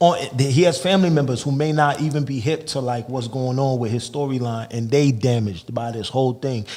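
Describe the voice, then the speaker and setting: A man with an American accent, medium pitch, ordinary pitch variation and a fairly quick pace, amid noticeable background noise. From Massachusetts, Lawrence. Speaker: rapper. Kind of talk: casual interview chat. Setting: studio.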